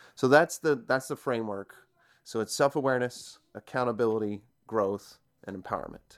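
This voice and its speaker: In a very clean recording with a silent background and a dry, close sound with no echo, a man with a medium-pitched voice uses a plain, everyday voice, ordinary pitch variation and a moderate pace. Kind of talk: casual interview chat.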